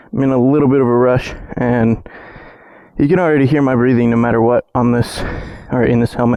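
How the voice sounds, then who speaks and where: Against noticeable background noise, a man speaks at a fairly quick pace with long, frequent pauses, very even loudness and fairly even intonation. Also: medium pitch for a man. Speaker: motorcycle vlogger. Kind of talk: casual vlog narration while riding. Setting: outdoors on a motorcycle, in a helmet.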